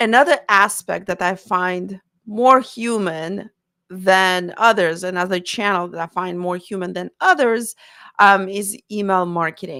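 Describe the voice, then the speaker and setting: A woman speaks at a fairly slow pace with a non-native accent, her bright, sharp tone showing ordinary pitch variation and big swings in loudness, on a very clean recording with a silent background. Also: medium pitch for a woman. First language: not English. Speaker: marketing consultant for therapists. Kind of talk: live Q&A style talk to camera. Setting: live stream on camera. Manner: halting, many fillers and self-corrections.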